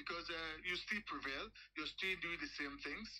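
A man speaks in a raised, projected voice with a bright, sharp tone and ordinary pitch variation. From Finland. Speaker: aspiring gold trader. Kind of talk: casual business chat.

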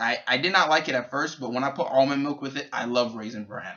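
The speaker has an American accent. The pace is very fast. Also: man. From New York City, Bronx; New York. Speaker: YouTuber. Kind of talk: casual vlog; casual vlog chat. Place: home room. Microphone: webcam.

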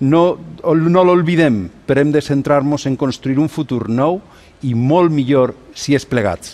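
A man talks at a fairly slow pace in a fairly high pitch. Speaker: politician. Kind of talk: prepared political statement read on TV. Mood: solemn, conciliatory. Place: studio. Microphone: lapel.

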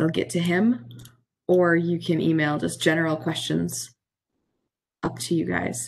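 A woman is speaking. Her pace is fairly slow. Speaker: student event moderator; event host. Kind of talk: Q&A moderation. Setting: video call. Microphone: video call.

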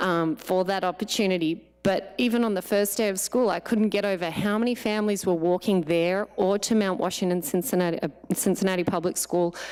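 Speaking with an Australian accent, a woman with a medium pitch moves at a fairly quick pace, her intonation fairly even and her loudness very even. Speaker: parent speaking at public comment. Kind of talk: public comment at board meeting. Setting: board of education meeting.

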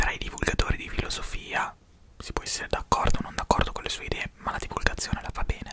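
A soft-spoken man whispers at a very fast pace, his loudness swinging widely over noticeable background noise. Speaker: philosophy content creator. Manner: soft close-mic ASMR whisper. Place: home room. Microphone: studio mic.

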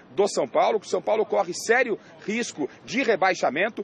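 Over light background noise, a man speaks at a high pitch and moderate pace with ordinary pitch variation, in a dry sound with no echo. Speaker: TV sports reporter. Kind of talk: news report. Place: street. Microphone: handheld.

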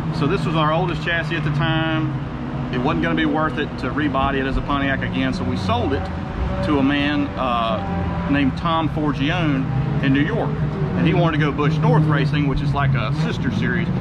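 Loud background noise behind a man with ordinary pitch variation and a fairly quick pace. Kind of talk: interview answer. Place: garage. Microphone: phone near.

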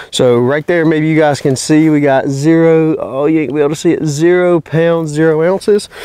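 With a Southern US accent, a man with a fairly high pitch talks at a moderate pace with hardly any pauses, fairly even intonation and very even loudness, in a dry sound with no echo over a quiet background. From North Carolina. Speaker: YouTube hunting and gun reviewer; gun reviewer. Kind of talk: product review. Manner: casual, conversational. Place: open country.

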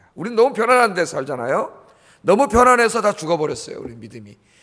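The background stays quiet. A man delivers his words at a fairly quick pace. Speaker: pastor. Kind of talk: sermon. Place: church. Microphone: podium.

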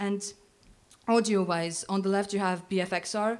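A woman's medium-pitched, fairly even delivery in a plain, everyday voice. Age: young. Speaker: game developer; conference speaker. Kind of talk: conference talk. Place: hall. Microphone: handheld.

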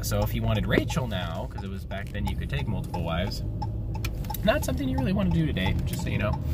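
A man is heard over music in the background, with a dry sound and no echo. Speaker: devotional vlogger. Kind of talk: casual bible devotional talk. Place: car. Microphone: phone near.

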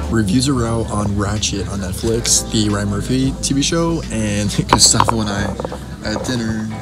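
A man at a moderate pace over loud music in the background. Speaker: vlogger. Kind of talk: casual vlog chat.

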